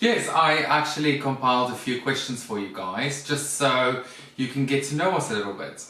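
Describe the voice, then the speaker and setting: A man speaks with a South African accent. There is audible room echo and noticeable background noise. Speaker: vlogger, former flight attendant. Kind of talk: casual chat.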